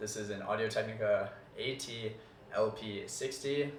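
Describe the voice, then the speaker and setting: A man speaks with audible echo from the room. Light background noise sits underneath. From US. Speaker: college student YouTuber. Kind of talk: casual desk tour; casual vlog chat. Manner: relaxed, casual with fillers. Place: home room.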